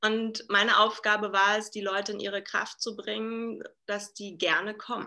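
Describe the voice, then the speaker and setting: In a bright, sharp tone, a woman speaks at a fairly high pitch with monotone, flat intonation and big swings in loudness. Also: moderate pace. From Berlin, Germany. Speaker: leadership coach and keynote speaker. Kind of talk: casual interview. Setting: video call.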